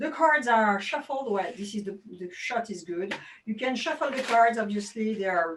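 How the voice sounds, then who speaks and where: A woman with a French accent talks at a moderate pace in a fairly high voice, her intonation lively, her loudness swinging widely, and her speech broken by long, frequent pauses. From France. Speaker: magician. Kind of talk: tutorial. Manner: animated.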